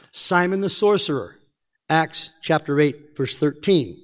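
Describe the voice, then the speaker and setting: Speaking fairly slowly, a man lets his pitch rise and fall in an ordinary way. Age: old. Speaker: pastor. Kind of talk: sermon. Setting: church.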